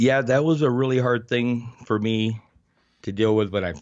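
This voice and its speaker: This man has an unremarkable speaking voice at a medium pitch. He talks at a moderate pace with fairly even intonation. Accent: American. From Arizona, US Southwest. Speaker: heavy equipment operator and street photographer. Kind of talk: interview.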